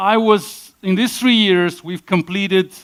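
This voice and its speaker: A man speaks with a Russian accent. His pace is fairly slow. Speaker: conference speaker. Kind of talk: conference talk. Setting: stage with audience.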